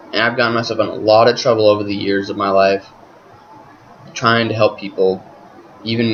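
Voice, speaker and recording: Over noticeable background noise, a man talks at a fairly quick pace in a flat monotone. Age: 20s. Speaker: vlogger. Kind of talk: webcam monologue. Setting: talking to webcam at home. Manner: halting, with pauses.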